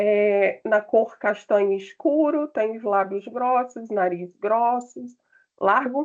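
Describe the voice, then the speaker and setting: Speaking at a very slow pace, a woman keeps her fairly high voice at very even loudness with ordinary pitch variation. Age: 50s. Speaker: panelist. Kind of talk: self-description at online panel.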